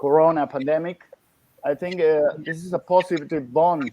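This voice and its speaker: In an Italian accent, a man speaks at a fairly slow pace. His tone is dark and mellow, his intonation fairly even. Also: dry, close sound with no echo. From Italy. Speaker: dentist using hypnosis. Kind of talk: panel discussion. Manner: halting.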